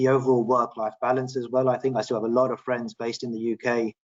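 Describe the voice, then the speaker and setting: A man with a British accent, medium pitch and a fairly quick pace. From London, England. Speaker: property expert. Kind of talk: webinar panel discussion.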